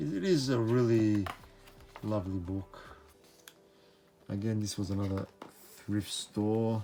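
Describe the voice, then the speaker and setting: With music in the background, the speaker moves at a fairly slow pace and leaves long, frequent pauses. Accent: Australian. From Australia. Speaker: book reviewer, channel host. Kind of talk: casual book review.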